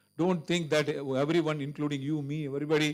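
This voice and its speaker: A man with an Indian accent talks at a fairly quick pace in a fairly high voice. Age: 60s. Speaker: cancer surgeon and guest speaker. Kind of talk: Q&A answer at a medical seminar.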